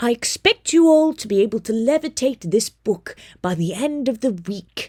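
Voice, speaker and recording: A female-sounding, put-on character voice is raised and projected at a fairly high pitch. The pace is moderate. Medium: read story. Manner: brisk, authoritative.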